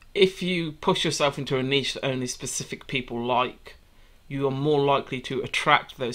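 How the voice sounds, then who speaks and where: Bright and sharp in tone, a man at medium pitch talks at a fairly quick pace on a very clean recording with a silent background. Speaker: YouTube commentary reviewer. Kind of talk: casual reaction commentary. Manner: blunt, sarcastic, profane.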